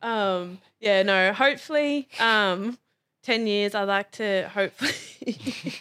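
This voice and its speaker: Spoken at a very slow pace with an Australian accent, this voice has a bright, sharp tone and ordinary pitch variation, captured in a very clean recording with a silent background. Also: woman, medium pitch for a woman. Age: 20s. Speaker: rugby league player and firefighter. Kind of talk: casual chat.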